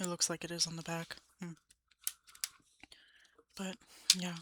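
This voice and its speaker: Soft-spoken and bright, sharp in tone, a woman with an American accent talks at a fairly low pitch in a monotone, flat intonation. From Ohio, United States. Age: young. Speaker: college student, ASMR creator. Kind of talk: ASMR, casual talk to camera.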